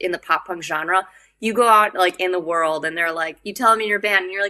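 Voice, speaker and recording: A woman's medium-pitched voice has a bright, sharp tone and fairly even intonation. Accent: Wisconsin. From Wisconsin, US. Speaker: singer in a band. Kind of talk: casual interview chat.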